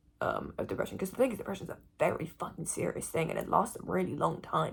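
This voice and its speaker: Her intonation is lively. This woman's voice also carries vocal fry. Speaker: vlogger. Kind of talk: casual vlog rant. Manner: halting, many fillers.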